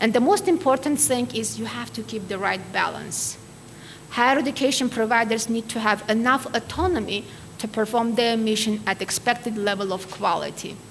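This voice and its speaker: Noticeable background noise sits behind a woman with an Armenian accent who speaks at a fairly high pitch. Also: ordinary pitch variation, moderate pace. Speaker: keynote speaker, quality assurance expert. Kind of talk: lecture.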